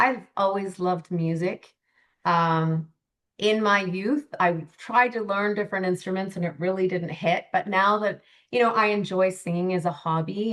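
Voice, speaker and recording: A woman with a Canadian accent has an unremarkable speaking voice. She holds a medium pitch, a moderate pace and fairly even intonation. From Canada. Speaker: life coach. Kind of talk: podcast interview.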